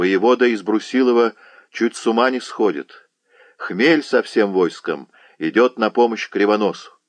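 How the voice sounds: Heard over a quiet background, a natural reading voice moves with ordinary pitch variation.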